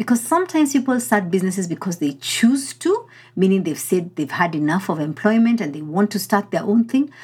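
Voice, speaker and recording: A woman talks at medium pitch with a somewhat breathy voice. Her pace is fairly quick, with hardly any pauses and very wide pitch swings. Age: 40s. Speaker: leadership coach and podcast host. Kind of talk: solo motivational podcast talk.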